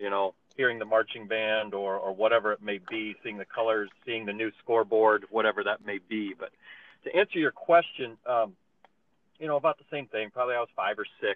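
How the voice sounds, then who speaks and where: Someone with an American accent speaks at a fairly quick pace in a normal speaking voice. The pitch varies in an ordinary way. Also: man, medium pitch for a man. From eastern Iowa, US Midwest. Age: 40s. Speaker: basketball coach. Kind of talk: casual chat.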